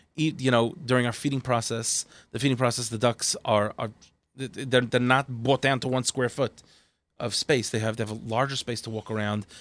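A man's plain, everyday voice at medium pitch, fairly quick, with fairly even intonation and a dry, close sound with no echo. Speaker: kosher duck producer. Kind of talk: casual chat.

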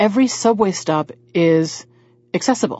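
Somewhat breathy and at a moderate pace, the speaker talks with an American accent and lively intonation. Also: woman. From US South. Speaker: social worker, former opera singer and voiceover artist. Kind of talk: radio interview.

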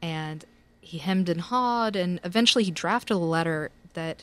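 Fairly low female voice, very clean recording, silent background. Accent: Southern US. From US South, Tennessee. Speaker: attorney and blogger. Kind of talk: casual chat.

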